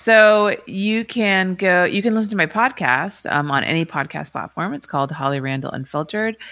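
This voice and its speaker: A woman's unremarkable speaking voice with an American accent, medium in pitch, lively in intonation, moderate in pace, with hardly any pauses, on a very clean recording with a silent background. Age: 40s. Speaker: adult film director and podcaster. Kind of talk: interview.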